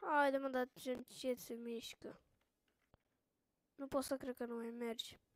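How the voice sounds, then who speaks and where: A woman's high-pitched voice at a very slow pace, with fairly even intonation, long and frequent pauses, and a dry, close sound with no echo. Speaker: gaming youtuber. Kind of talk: gameplay commentary.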